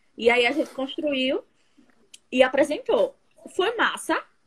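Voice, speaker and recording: A woman's high voice swings very widely in pitch as she talks fairly slowly. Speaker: stage actress. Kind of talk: casual chat. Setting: instagram live video call. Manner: halting.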